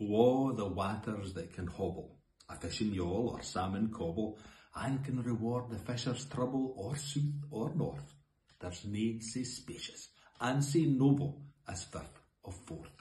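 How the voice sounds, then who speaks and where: Audible room echo follows a man who talks at a fairly slow pace with lively intonation. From Scotland. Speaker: poetry reader. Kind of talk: poetry reading. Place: home room. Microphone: phone near.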